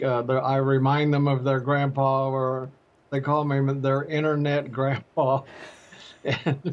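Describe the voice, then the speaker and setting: Fairly high in pitch, a man speaks at a fairly slow pace with monotone, flat intonation and very even loudness. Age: 80s+. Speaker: social media creator. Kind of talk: interview. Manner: halting.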